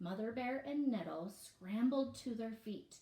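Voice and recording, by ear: The passage is read aloud in a natural voice, and the pitch varies in an ordinary way.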